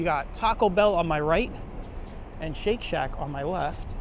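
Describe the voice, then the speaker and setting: A man speaks with a Brooklyn accent at a fairly slow pace. His pitch varies in an ordinary way. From New York City, Brooklyn. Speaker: walking tour vlogger. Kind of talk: walking tour commentary. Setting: outdoors, city streets. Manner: casual, conversational.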